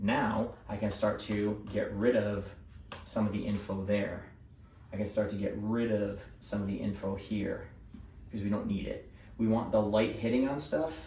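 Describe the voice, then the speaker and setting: Room echo can be heard around the speech. It goes at a moderate pace, its intonation fairly even. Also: man, fairly low pitch for a man. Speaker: artist. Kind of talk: drawing tutorial. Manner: casual, with fillers.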